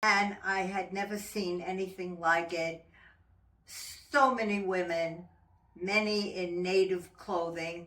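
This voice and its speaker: Very slow speech from a medium-pitched woman, long, frequent pauses, fairly even intonation, audible room echo and noticeable background noise. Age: 90s. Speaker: women's organization member. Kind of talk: interview reminiscence. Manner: halting.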